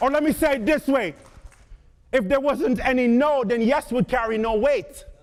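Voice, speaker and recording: With an Antiguan accent, a man speaks in an extremely high, animated voice at a moderate pace, keeping ordinary pitch variation and very even loudness. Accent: Caribbean, Antiguan. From Antigua and Barbuda. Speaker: motivational speaker. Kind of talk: motivational speech. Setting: stage with audience.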